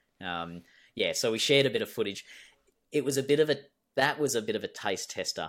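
With an Australian accent and vocal fry, a man speaks at a medium pitch and a very fast pace, with very wide pitch swings and long, frequent pauses. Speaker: cave diver and former soldier. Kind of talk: interview. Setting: video call.

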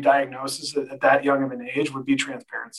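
A man with an American accent and a fairly high pitch talks at a fairly quick pace. He has an ordinary speaking voice with ordinary pitch variation. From California. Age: 30s. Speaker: cancer survivor. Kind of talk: casual interview.

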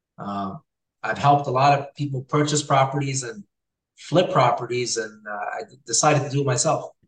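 A man's fairly high, somewhat breathy voice at a fairly quick pace, with long, frequent pauses and big swings in loudness. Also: ordinary pitch variation. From Hamilton, Ontario, Canada. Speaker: realtor and real estate investor. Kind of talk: casual interview chat.

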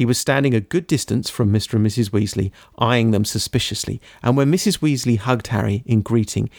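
Ordinary pitch variation across an unforced reading voice

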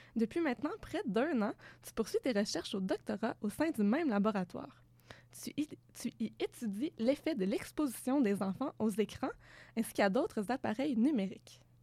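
A woman with a fairly high pitch and a dark, mellow tone speaks at a moderate pace in a dry, close sound with no echo. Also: lively intonation. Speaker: podcast interviewer. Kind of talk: interview. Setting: studio.

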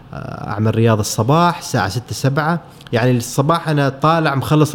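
A man's medium-pitched voice with ordinary pitch variation, amid noticeable background noise. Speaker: photographer. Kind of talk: casual interview.

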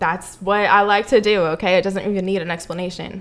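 Over noticeable background noise, a woman with an American accent talks fairly quickly. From US, Mexican-Cuban heritage. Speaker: podcast co-host. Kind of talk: casual chat.

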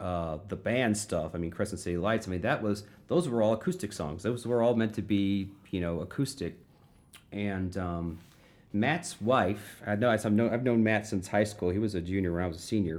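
A man speaks with an American accent at a moderate pace. He has a plain, everyday voice. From Florissant, St. Louis area, Missouri. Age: 40s. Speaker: punk musician and vegan activist. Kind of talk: casual chat.

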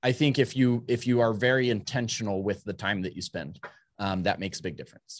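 A man talks at a fairly quick pace. His medium-pitched voice shows ordinary pitch variation. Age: 30s. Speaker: construction technology entrepreneur. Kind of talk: interview. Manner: halting.

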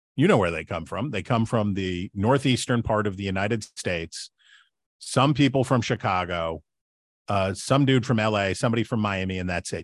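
At a moderate pace and medium pitch, a man talks in an ordinary speaking voice with ordinary pitch variation against a quiet background. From West Virginia. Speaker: political commentator and author. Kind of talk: interview.

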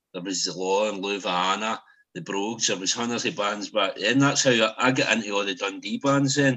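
This man speaks with a Scottish accent at a fairly low pitch. His pitch moves in an ordinary way. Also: fairly quick pace. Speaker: podcast host. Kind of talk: casual chat. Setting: video call.

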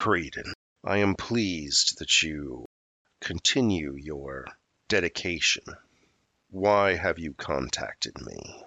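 Using a booming, put-on character voice at a very deep, low pitch, a man speaks at a fairly slow pace with long, frequent pauses.

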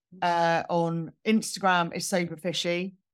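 Speaking in a southern English accent, a woman uses a fairly low pitch at a fairly slow pace. The recording is very clean, with a silent background. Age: 40s. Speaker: sober blogger and community leader. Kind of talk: interview conversation. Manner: hesitant, many fillers.

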